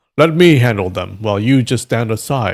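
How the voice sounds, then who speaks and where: A man puts on a character voice at a medium pitch, with lively intonation. The recording is very clean, with a silent background. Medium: read story. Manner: sly, scheming.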